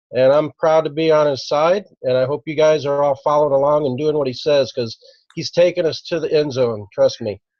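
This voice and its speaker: A man talks at a fairly quick pace in a plain, everyday voice. His pitch is fairly high and his intonation fairly even. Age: 60s. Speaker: network marketing team member. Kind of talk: online business opportunity meeting.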